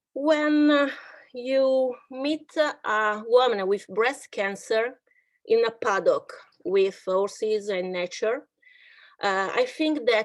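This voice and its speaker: Speaking at a very slow pace, a woman with an Italian accent uses a high pitch against a quiet background. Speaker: psychologist and horse therapist. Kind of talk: online workshop presentation. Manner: halting.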